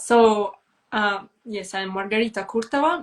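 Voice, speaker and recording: A woman's fairly high voice in a Russian accent, lively in intonation, at a fairly slow pace. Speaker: brand strategist. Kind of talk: live stream conversation. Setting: online live stream. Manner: halting, hesitant English.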